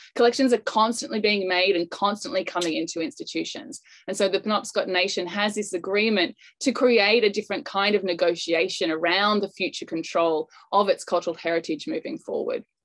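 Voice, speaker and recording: A woman with an Australian accent, fairly quick and lively in intonation, against a quiet background. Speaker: anthropology professor. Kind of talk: panel presentation. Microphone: video call.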